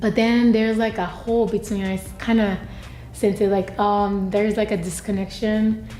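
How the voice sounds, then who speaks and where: Her voice is dark, mellow and somewhat breathy, moving at a moderate pace with a monotone, flat intonation. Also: medium pitch for a woman. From Japan. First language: Japanese. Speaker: university student. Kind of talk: interview. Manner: halting.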